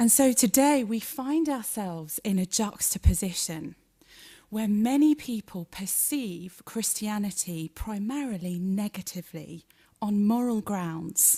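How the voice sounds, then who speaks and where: Somewhat breathy and at medium pitch, a woman with a British accent speaks at a fairly slow pace with lively intonation, in a very clean recording with a silent background. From Britain. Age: 40s. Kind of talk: public lecture.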